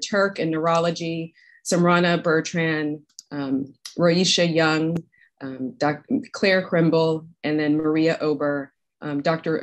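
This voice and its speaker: The pace is very slow. A woman speaks at a fairly low pitch. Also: quiet background. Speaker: academic host introducing speakers. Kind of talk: event introduction remarks. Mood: warm, appreciative. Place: office. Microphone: video call.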